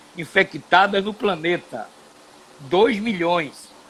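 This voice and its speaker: Speaking at a very slow pace, a man has a high pitch with ordinary pitch variation. Noticeable background noise can be heard. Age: 70s. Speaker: TV and radio broadcaster, former footballer. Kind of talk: live stream conversation. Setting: home studio.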